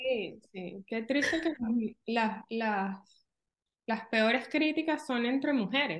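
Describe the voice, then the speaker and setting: Speaking at a very slow pace, a woman uses long, frequent pauses. Her pitch is fairly high and her intonation lively. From Venezuela. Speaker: real estate agent. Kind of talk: interview.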